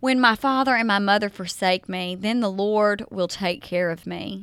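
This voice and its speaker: Her voice is fairly high with a bright, sharp tone and ordinary pitch variation, and this woman speaks with a Southern US accent at a fairly slow pace. The recording is very clean, with a silent background. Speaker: podcast host. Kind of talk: faith-based podcast talk with scripture reading. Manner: animated.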